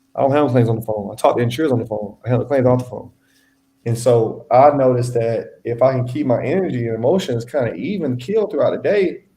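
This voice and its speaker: A man talks at a very fast pace in a somewhat breathy voice with a dark, mellow tone and ordinary pitch variation. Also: medium pitch for a man. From Louisiana and Texas. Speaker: independent insurance adjuster. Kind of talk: casual interview. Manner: casual, relaxed.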